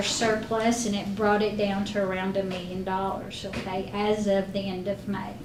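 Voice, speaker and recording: A woman speaks at a moderate pace. Audible room echo and noticeable background noise are present. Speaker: school district finance officer. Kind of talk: board meeting financial report. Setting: school board meeting.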